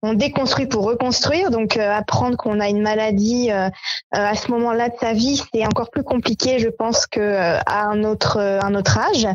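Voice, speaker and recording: Over clearly audible background noise, someone talks at a moderate speed. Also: woman, fairly high pitch for a woman, fairly even intonation, very even loudness. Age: 30s. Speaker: association co-founder. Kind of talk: interview. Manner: hesitant, many fillers.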